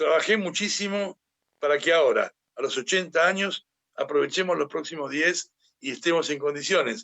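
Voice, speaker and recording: A man's high-pitched voice at a moderate pace. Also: ordinary pitch variation. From Argentina. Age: 80s+. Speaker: economist. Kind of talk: interview. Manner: formal.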